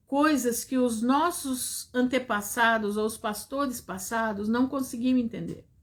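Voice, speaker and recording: Fairly slow, high-pitched speech from a woman with fairly even intonation, on a very clean recording with a silent background. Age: 60s. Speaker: preacher. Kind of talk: sermon.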